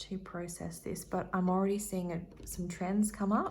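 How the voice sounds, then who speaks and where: At a moderate pace, a woman speaks. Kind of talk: tarot reading, casual talk to camera. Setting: ASMR-style recording. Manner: soft-spoken, rambling, friendly.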